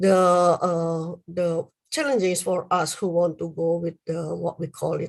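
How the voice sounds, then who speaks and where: The speaker has an Indonesian accent and a very slow pace. The recording is very clean, with a silent background. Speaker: university lecturer. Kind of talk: lecture. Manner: halting, many fillers.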